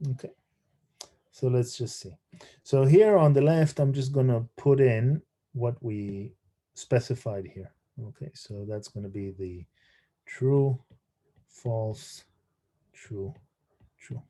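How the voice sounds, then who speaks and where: The man's tone is dark, mellow and somewhat breathy, with ordinary pitch variation and big swings in loudness. He talks at a very slow pace with long, frequent pauses. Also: medium pitch for a man. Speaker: university lecturer. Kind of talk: lecture. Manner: halting, many fillers and repeats; mumbling.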